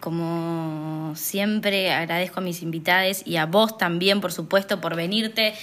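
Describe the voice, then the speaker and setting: A woman speaks in a Rioplatense accent. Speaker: podcast host and poet. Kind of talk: casual conversation. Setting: recording at brother's house.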